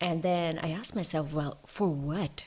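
A woman talks with fairly even intonation on a very clean recording with a silent background. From India. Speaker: executive coach. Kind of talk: interview conversation.

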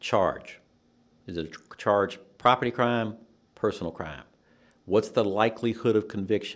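Moderate pace with long, frequent pauses, big swings in loudness and ordinary pitch variation. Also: man, fairly low pitch for a man. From US South, Nashville, Tennessee. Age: 60s. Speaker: judicial candidate, criminal defense attorney. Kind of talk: interview.

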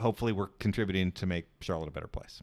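In a normal speaking voice, a man speaks at a fairly low pitch with ordinary pitch variation, captured on a very clean recording with a silent background. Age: 40s. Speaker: newsletter founder and editor. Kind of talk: interview conversation.

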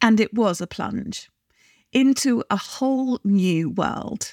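Lively intonation marks a woman's fairly high voice. The sound is dry and close with no echo. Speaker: podcast host and business coach. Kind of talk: solo podcast monologue.

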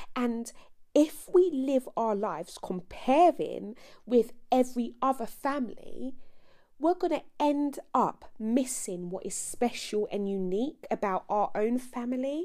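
A woman with a British accent speaks at a fairly slow pace, her high-pitched voice carrying lively intonation. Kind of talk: casual devotional talk.

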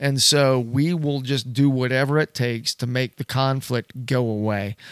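A man speaks in a plain, everyday voice at a medium pitch with ordinary pitch variation. The recording is very clean, with a silent background and a dry, close sound with no echo. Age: 60s. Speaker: church elder, podcast host. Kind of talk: casual panel discussion.

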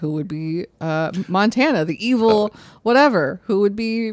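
Speaking at a moderate pace with an American accent, a woman has a plain, everyday voice at medium pitch with lively intonation. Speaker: podcast co-host. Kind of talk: casual chat.

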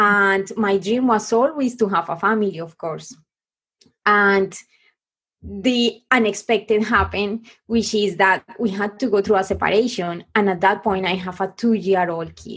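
At a fairly slow pace, a woman with a Spanish accent speaks at a medium pitch with fairly even intonation. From Colombia. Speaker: business coach. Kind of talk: interview. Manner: halting.

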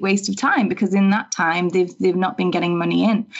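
Using a plain, everyday voice, this woman holds a medium pitch and fairly even intonation. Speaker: web designer. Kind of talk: casual podcast interview.

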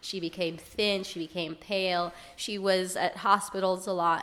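In an American accent, a woman speaks at a fairly slow pace in an ordinary speaking voice, with medium pitch and fairly even intonation. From Israel, then US from age 10. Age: 30s. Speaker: yoga teacher. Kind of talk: casual interview. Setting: apartment in Dublin.

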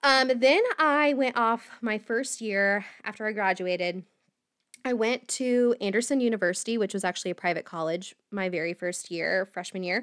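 Recorded very cleanly against a silent background, a woman with an unremarkable speaking voice talks at a moderate pace, at a fairly high pitch, with ordinary pitch variation. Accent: American. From US Midwest (Indiana, near Indianapolis). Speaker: podcast host, mental health advocate. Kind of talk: personal storytelling monologue.

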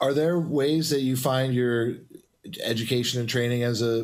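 A man at a moderate pace, fairly even in intonation, with audible room echo. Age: 50s. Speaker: podcast host. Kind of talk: casual chat. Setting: studio.

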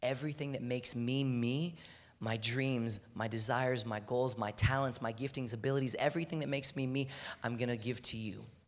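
A man talks at a fairly quick pace with an American accent. Audible room echo surrounds his voice. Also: medium pitch for a man. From Texas, Houston. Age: 20s. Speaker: athlete and guest preacher. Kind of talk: sermon. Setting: church. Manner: animated.

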